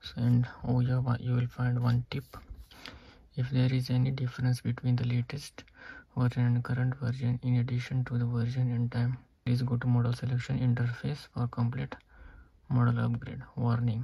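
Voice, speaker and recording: A man speaks with monotone, flat intonation. His pace is moderate. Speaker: tech demonstrator. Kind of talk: tutorial. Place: home room. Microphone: phone near.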